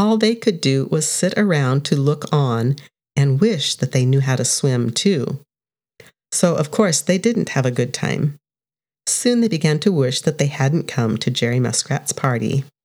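A woman's very deep, low voice with a gentle, warm tone, very wide pitch swings, very even loudness and a fairly slow pace, in a very clean recording with a silent background. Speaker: storybook narrator. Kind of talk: bedtime story reading aloud. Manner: gentle, warm, storytelling pace; animated, sing-song children's storytelling.

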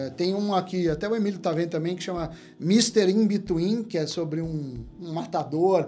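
A man with a high pitch talks at a moderate pace in a dark, mellow tone with ordinary pitch variation. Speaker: economist. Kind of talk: casual chat.

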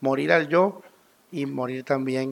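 A man's fairly high voice with ordinary pitch variation and a fairly slow pace. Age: 30s. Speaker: pastor. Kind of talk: sermon.

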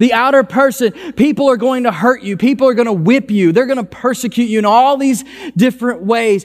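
Extremely high in pitch for a man, this voice shows ordinary pitch variation. The man talks at a fairly quick pace. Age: 30s. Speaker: pastor. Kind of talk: sermon.

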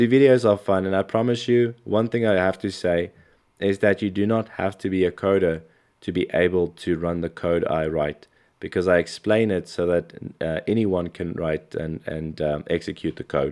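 A man's very deep, low voice moves with ordinary pitch variation against a quiet background. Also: moderate pace. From South Africa. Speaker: NFT artist and software developer. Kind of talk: podcast interview.

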